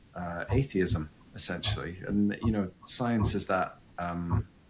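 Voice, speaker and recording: With music in the background, a man speaks with ordinary pitch variation. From Scotland, Fife. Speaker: psychic medium. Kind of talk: podcast interview. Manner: hesitant, many fillers.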